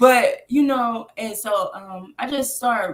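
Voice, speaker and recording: Speaking with an American accent, the woman sounds somewhat breathy. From US South, Atlanta. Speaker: rapper. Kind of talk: casual interview chat. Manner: casual, hesitant with fillers.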